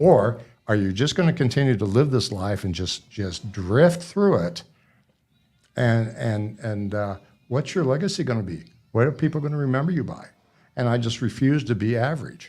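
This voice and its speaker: In a very clean recording with a silent background, a man talks at a moderate pace and medium pitch, his dark, mellow tone somewhat breathy with lively intonation. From Nebraska. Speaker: author. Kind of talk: interview. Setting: studio.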